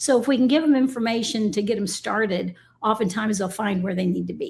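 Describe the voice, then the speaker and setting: Fairly quick, somewhat breathy speech from a woman pitched fairly high. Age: 60s. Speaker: shooting sports team lead. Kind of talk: casual interview.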